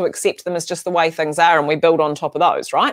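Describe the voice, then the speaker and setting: The background stays quiet while a woman speaks. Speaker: podcast guest or host. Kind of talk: casual interview conversation. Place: home room.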